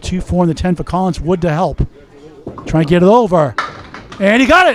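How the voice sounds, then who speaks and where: A man with a high pitch talks fairly quickly while noticeable background noise carries on. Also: ordinary pitch variation. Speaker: play-by-play commentator. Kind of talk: live commentary.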